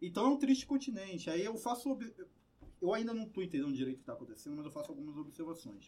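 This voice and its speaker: Dark and mellow in tone, a man talks very fast in a high pitch. His pitch swings very widely. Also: big swings in loudness. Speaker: podcast co-host and teacher. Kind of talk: casual chat. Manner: speaking quietly today.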